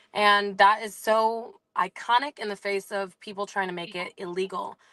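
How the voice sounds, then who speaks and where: A plain, everyday voice from a woman, medium in pitch, at a moderate pace with fairly even intonation, against a quiet background. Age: 20s. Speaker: small business owner. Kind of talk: casual chat.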